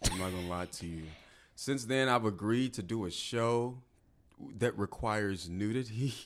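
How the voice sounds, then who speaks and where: A man with an American accent speaks at a moderate pace and medium pitch, with ordinary pitch variation. He leaves long, frequent pauses, and the recording is very clean with a silent background. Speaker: actor. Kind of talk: casual chat.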